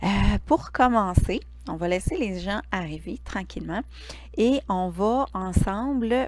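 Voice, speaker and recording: A woman with a Quebec accent, speaking at a very slow pace. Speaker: Reiki teacher and live stream host. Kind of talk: casual live stream chat. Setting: livestream from home living room.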